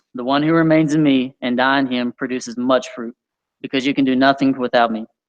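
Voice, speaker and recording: A man's medium-pitched, monotone voice at a fairly quick pace, with flat intonation and a dry, close sound free of echo. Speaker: youth leader. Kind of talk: sermon. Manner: fast; mumbling.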